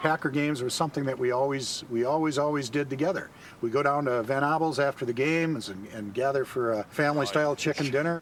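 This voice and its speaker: Over noticeable background noise, a man with a Wisconsin accent talks very fast at a fairly high pitch, with ordinary pitch variation and hardly any pauses. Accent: Upper Midwest (Wisconsin). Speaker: football fan. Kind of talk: documentary interview.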